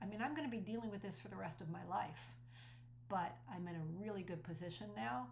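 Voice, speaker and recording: There is vocal fry in this woman's voice as she talks at a moderate pace, with audible room echo around her. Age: 60s. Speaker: speaker and cult survivor. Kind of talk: personal testimony. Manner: earnest and conversational.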